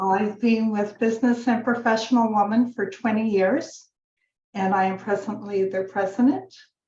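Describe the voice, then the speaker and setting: A woman with a Canadian accent speaks at a fairly high pitch and a moderate pace. Her voice is somewhat breathy and dark and mellow in tone, with fairly even intonation. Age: 70s. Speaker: women's association president. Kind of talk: round table introduction.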